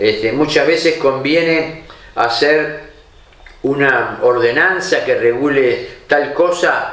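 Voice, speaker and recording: A man speaks with a Rioplatense accent. The room echo is audible, and there's noticeable background noise. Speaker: TV columnist. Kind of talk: opinion commentary to camera.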